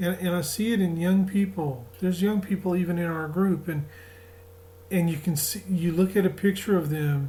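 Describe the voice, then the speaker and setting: A man talks at a moderate pace with a strong Southern US accent. His voice is high and his intonation fairly even. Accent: Southern US, returned strongly. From US South. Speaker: spiritual group leader. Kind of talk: spiritual talk. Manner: casual, halting.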